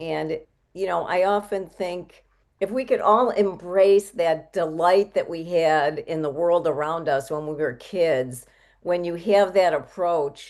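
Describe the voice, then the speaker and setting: With an ordinary speaking voice, a woman speaks at a fairly slow pace and a fairly low pitch, with ordinary pitch variation. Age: 60s. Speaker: health coach. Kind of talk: interview.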